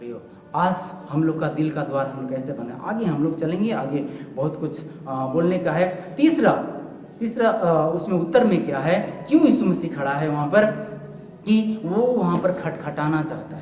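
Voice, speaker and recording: Noticeable background noise surrounds a man speaking. His pitch is fairly high and his intonation lively. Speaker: pastor delivering a church sermon.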